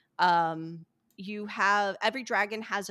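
A woman with an American accent speaks at medium pitch and a fairly slow pace, her bright, sharp tone kept to fairly even intonation. The very clean recording has a silent background and a dry, close sound with no echo. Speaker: game developer. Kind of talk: casual chat.

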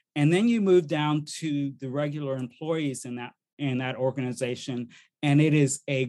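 A man speaks with a fairly high pitch and a normal speaking voice. The background is quiet. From US army family, moved around. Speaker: diversity speaker and workshop facilitator. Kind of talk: interview conversation.

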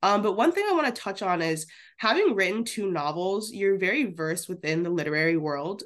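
Here is a woman with an unremarkable speaking voice at medium pitch and lively intonation. The background is quiet. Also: fairly quick pace. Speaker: student intern co-host. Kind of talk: casual interview conversation.

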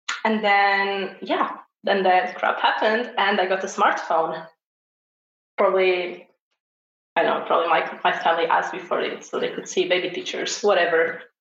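A woman with a Portuguese accent at a moderate pace, her intonation fairly even, with audible room echo. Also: medium pitch for a woman. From Portugal. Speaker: homesteader and knitter. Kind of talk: casual chat.

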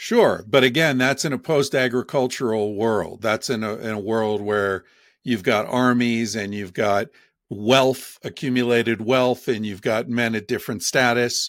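With an unremarkable speaking voice, a man of medium pitch talks at a moderate pace and with fairly even intonation on a very clean recording with a silent background. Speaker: author. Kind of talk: interview answers, explanatory talk.

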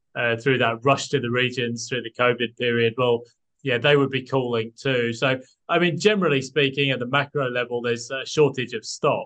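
In a British accent, this man talks at a medium pitch. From UK. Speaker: property buyer's agent and analyst. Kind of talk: casual interview chat.

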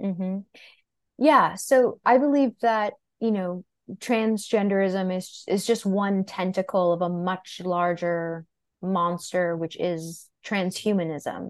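A woman with an American accent, medium pitch, ordinary pitch variation and a very slow pace, against a quiet background. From New York City, Greenwich Village. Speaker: podcast host and women's health educator. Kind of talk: casual chat.

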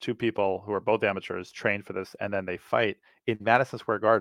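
Against a quiet background with a dry, close sound and no echo, a man with an American accent uses an ordinary speaking voice, fairly low in pitch, at a fairly quick pace with fairly even intonation. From US Northeast, New York City. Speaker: productivity coach. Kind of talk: interview.

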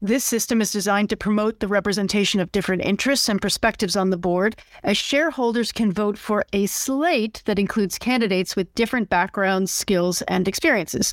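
In a very clean recording with a silent background, a woman with an ordinary speaking voice talks at a fairly quick pace with hardly any pauses, medium pitch, ordinary pitch variation and very even loudness. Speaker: podcast host. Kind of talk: scripted-style discussion of news and business. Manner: formal.

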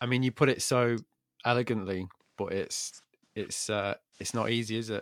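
A man with an English accent speaks at a moderate pace in a medium-pitched voice, his intonation fairly even and broken by long, frequent pauses. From England. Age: 40s. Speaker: podcast host. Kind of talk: monologue intro and outro; casual interview chat.

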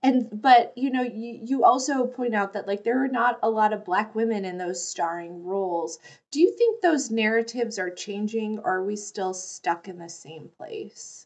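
A woman with an ordinary speaking voice and fairly high pitch talks at a moderate pace with hardly any pauses, lively intonation and big swings in loudness against a quiet background. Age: 40s. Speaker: podcast host. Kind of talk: casual interview chat.

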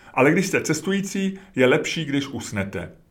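The speaker is a man with a high pitch, talking at a moderate pace. Room echo is audible. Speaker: podcaster and writer. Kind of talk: reading aloud.

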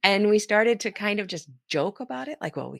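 A woman with an American accent speaks with very wide pitch swings. The sound is dry and close with no echo, and the recording is very clean with a silent background. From California. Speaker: author and former dispatcher. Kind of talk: interview conversation.

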